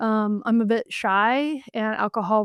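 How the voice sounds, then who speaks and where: Recorded very cleanly against a silent background, a normal speaking voice with an American accent has fairly even intonation and a dry, close sound with no echo. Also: woman. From US South, western North Carolina. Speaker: journalist and author. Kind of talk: interview.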